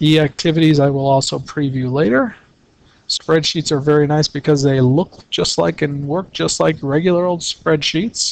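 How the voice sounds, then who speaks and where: An unremarkable speaking voice belongs to a man who talks at a moderate pace with ordinary pitch variation. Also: fairly high pitch for a man. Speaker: calculator tutorial presenter. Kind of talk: tutorial.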